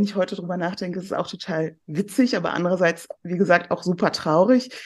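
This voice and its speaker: A woman talks at a fairly quick pace in a medium pitch. She has a plain, everyday voice. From Germany, near Cologne (born in southern Iran). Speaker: restaurateur and weight-loss success story. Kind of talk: casual chat.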